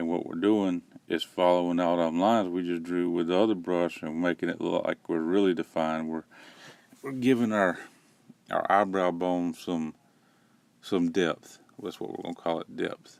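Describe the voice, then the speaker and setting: Long, frequent pauses break up a man's very deep, low voice as he speaks at a moderate pace with a Southern US accent and fairly even intonation on a very clean recording with a silent background. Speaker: parent doing a joke voiceover. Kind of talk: comedic makeup tutorial voiceover. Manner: deadpan, rambling.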